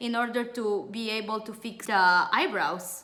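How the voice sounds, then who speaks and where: There is audible room echo around this voice. A woman speaks in a strong Romanian accent. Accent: thick European (Romanian). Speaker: beauty trainer and entrepreneur. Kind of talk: webinar sales pitch.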